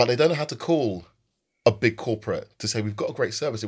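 A man talks at a very fast pace in a somewhat breathy voice with ordinary pitch variation. The recording is very clean, with a silent background. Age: 40s. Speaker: company founder. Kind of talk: podcast interview.

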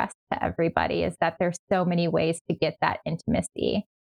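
A woman with an American accent, fairly quick pace and vocal fry. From New York. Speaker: sexologist. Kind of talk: podcast interview.

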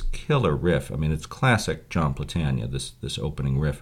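A man with a very deep, low pitch and vocal fry speaks at a moderate pace. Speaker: radio host. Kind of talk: interview conversation. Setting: studio.

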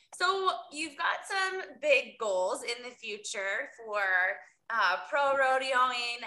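In an American accent, a woman speaks at a high pitch in a raised, projected voice, with a bright, sharp tone and lively intonation. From US Midwest, Iowa. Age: 30s. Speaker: podcast host. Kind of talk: interview.

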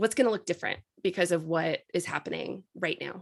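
At a moderate pace, a woman speaks with a fairly low pitch. Vocal fry runs through her voice. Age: 40s. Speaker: podcast host. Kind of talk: casual interview chat.

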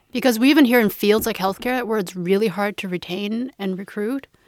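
A woman with a Canadian accent speaks at a moderate pace and a fairly high pitch. She has a plain, everyday voice with ordinary pitch variation. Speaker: parent. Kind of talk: casual chat.

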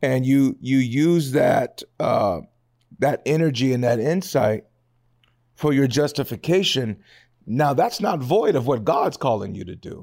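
A man speaks at a fairly slow pace with a fairly high pitch and lively intonation. The recording is very clean, with a silent background. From US West Coast, Seattle area. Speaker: podcast host. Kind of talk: casual interview chat. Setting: studio.

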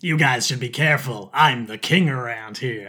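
In a put-on character voice, a man speaks at a moderate pace, his medium-pitched voice raspy. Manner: hissing, boastful.

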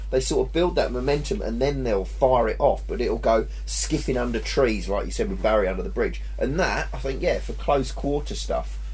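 Against noticeable background noise, a man talks at a moderate pace. He leaves hardly any pauses. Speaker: pro angler. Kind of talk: casual chat about fishing. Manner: swears casually, joking.

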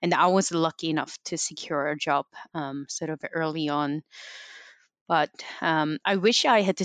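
An unremarkable speaking voice at a fairly slow pace, with ordinary pitch variation and a dry, close sound with no echo. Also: woman. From Canada. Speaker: veterinarian. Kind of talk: interview.

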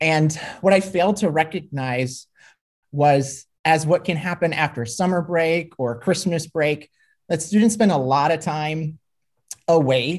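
Here is a moderate pace with a Minnesotan accent. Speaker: former high school ag teacher, grad student. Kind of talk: interview discussion.

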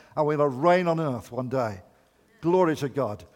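A man speaks with ordinary pitch variation. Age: 70s. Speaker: visiting preacher. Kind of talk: sermon.

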